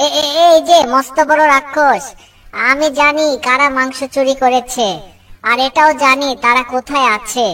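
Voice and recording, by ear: In a cartoonish character voice, a female-sounding speaker talks at a moderate pace with a high pitch.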